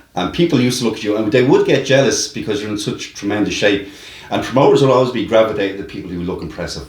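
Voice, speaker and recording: Very fast and somewhat breathy, a man with a strong Dublin accent speaks at a medium pitch with lively intonation amid audible room echo. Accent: heavy Dublin. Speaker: wrestling promoter, podcast host. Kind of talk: interview.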